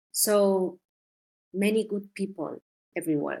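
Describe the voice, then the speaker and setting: On a very clean recording with a silent background, the speaker talks very slowly with a Spanish accent and ordinary pitch variation. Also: woman. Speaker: journalist. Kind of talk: interview. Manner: halting.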